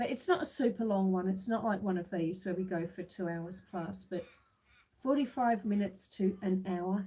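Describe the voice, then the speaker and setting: A woman speaks at a medium pitch in a dark, mellow, relaxed tone. Her voice is somewhat breathy, with fairly even intonation. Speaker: homestead livestreamer. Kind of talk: casual livestream chat. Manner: relaxed, unhurried.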